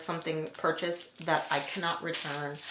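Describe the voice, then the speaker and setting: There is noticeable background noise and audible room echo as a woman speaks in a fairly low pitch. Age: 40s. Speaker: nail art youtuber. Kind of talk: casual haul video with rant. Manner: animated.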